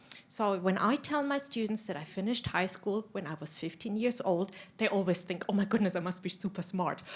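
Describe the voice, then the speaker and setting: In a German accent, the speaker goes at a fairly quick pace with ordinary pitch variation and hardly any pauses. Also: woman, medium pitch for a woman. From Germany. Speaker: university lecturer. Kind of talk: panel discussion.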